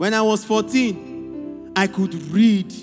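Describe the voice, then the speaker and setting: Music plays in the background as a man speaks. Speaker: spoken word performer at a church youth event. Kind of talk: spoken word poetry performance, preachy and rhythmic.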